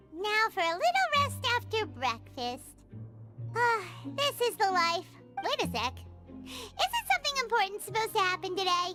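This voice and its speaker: Loud music plays in the background of this put-on character voice. It is squeaky and extremely high, with a bubbly tone and a moderate pace. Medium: video game. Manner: bubbly, fast.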